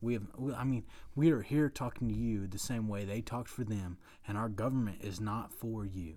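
This man has a Southern US accent. His fairly low voice shows ordinary pitch variation. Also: moderate pace. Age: 20s. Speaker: podcast co-host. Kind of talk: casual chat.

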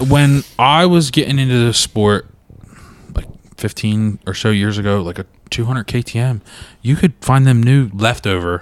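A man with a normal speaking voice talks at a moderate pace, his pitch medium and its variation ordinary. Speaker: podcast host. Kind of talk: casual chat. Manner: joking, laughs often.

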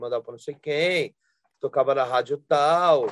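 A man with an unremarkable speaking voice, fairly high pitch, ordinary pitch variation, and moderate pace. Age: 40s. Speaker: rock singer and guitarist. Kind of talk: interview, casual chat.

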